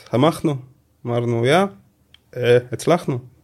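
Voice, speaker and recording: Pitched in the medium range for a man, his voice shows ordinary pitch variation. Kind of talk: interview. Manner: halting.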